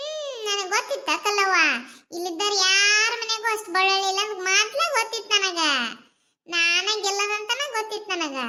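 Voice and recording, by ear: In a cartoonish character voice, a woman talks fairly slowly at an extremely high pitch.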